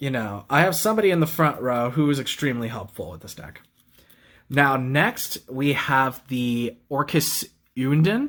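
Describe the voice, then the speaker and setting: Here is a normal speaking voice at a moderate pace. The recording is very clean, with a silent background. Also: man. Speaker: card game YouTuber. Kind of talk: deck profile tutorial. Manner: casual, with fillers.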